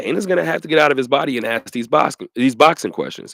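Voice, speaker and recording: A man speaks very fast in an animated tone with lively intonation. The recording is dry and close, without echo. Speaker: sports radio host. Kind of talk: casual chat.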